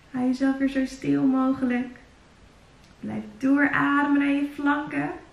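A woman speaks at a high pitch. Room echo can be heard. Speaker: fitness instructor. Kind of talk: workout instruction. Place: home room.

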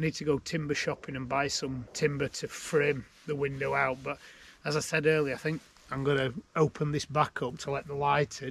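A man's monotone, flat delivery in a dry sound with no echo, over light background noise. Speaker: DIY vlogger. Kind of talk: tutorial. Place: garden.

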